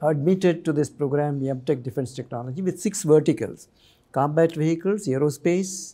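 At a fairly quick pace, a man talks in a dark, mellow tone with ordinary pitch variation. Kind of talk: interview answer. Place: studio. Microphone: lapel.

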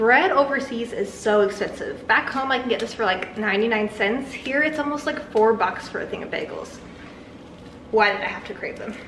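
A woman talks at a moderate pace with ordinary pitch variation, with audible room echo and light background noise. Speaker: vlogger. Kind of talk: casual vlog chat. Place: kitchen. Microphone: camera far.

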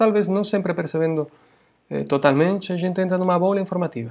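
This is a man's voice. The pitch is high. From Florianópolis, Brazil. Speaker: university professor. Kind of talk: lecture. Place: home room. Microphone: webcam.

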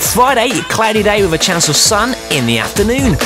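A man speaks at a fairly quick pace in a high voice, with clear music playing in the background. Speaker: radio DJ. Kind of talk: radio DJ links. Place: studio.

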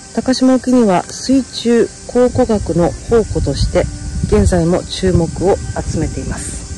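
Clear music plays in the background as a woman speaks, the sound dry with no echo. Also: fairly slow pace. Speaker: travel vlogger. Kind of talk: casual vlog chat. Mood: excited, curious. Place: waterside. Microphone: phone near.

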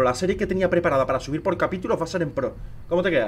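A man's high-pitched voice. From Spain. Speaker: gaming streamer. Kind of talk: live gameplay stream chat. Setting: live stream with camera. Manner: animated. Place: home room.

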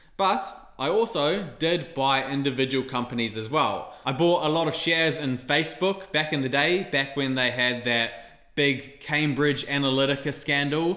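A man with a New Zealand accent speaks at a moderate pace with hardly any pauses and ordinary pitch variation, in a room with audible echo. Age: 20s. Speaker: YouTuber on investing. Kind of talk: casual monologue to camera. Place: home room.

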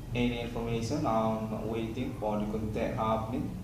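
The room echo is audible. Background noise is noticeable. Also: man. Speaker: video blogger. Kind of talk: rambling monologue. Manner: halting, disjointed. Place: empty room. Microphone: phone near.

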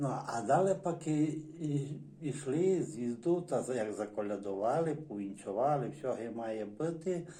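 With a Transcarpathian accent, a man speaks at a fairly high pitch in a dark, mellow tone with lively intonation, and audible room echo surrounds his voice. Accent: Transcarpathian Ukrainian dialect. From Zakarpattia, Ukraine (Berehove district village). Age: 60s. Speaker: dialect informant, villager. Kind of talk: oral history interview. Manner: halting, many hesitations and restarts.

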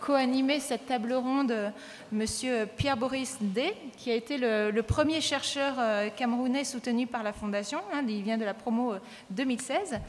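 A moderate pace carries speech with ordinary pitch variation. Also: woman. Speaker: panel moderator. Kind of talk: conference introduction. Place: hall. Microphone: podium.

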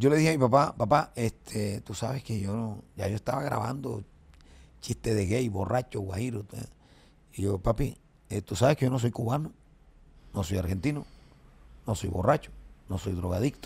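A man at a moderate pace with ordinary pitch variation and long, frequent pauses. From Colombia. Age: 50s. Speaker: comedian. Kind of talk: casual chat. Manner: animated. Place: studio. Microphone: studio mic.

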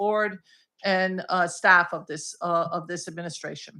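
Speaking loudly at a moderate pace, a woman with a bright, sharp tone and a medium pitch keeps her intonation fairly even on a very clean recording with a silent background. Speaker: state senator. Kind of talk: public comment at school board meeting. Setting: public meeting room with microphone. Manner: hesitant, many fillers.

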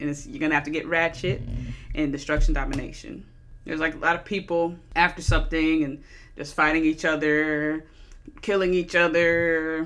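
A woman with a plain, everyday voice and a fairly low pitch speaks at a moderate pace with fairly even intonation. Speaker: movie reviewer. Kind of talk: casual review commentary. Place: home room. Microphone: studio mic.

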